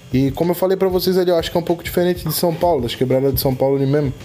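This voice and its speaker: Noticeable noise fills the background while the pitch varies in an ordinary way. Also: man. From Florianópolis, Brazil. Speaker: podcast host. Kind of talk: casual chat.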